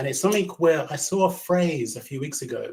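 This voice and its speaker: Speaking with a London accent, a man uses lively intonation in a somewhat breathy voice. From London, England. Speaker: learning and development consultant. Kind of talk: webinar presentation. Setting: video call. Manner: fast.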